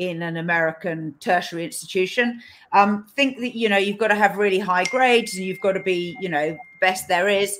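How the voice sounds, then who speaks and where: At a moderate pace and medium pitch, a woman talks in a plain, everyday voice, captured in a very clean recording with a silent background. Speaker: podcast host. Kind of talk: interview.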